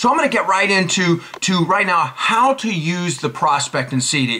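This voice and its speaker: Noticeable background noise accompanies a man with a high pitch. His tone is animated, his pitch swings are very wide, and his pace is moderate. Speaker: network marketing trainer. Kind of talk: tutorial.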